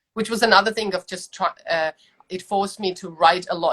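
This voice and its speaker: Speaking at a very fast pace with a non-native accent, a woman has a medium pitch and ordinary pitch variation, recorded with a dry, close sound and no echo. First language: not English. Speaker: small business owner. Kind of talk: casual interview.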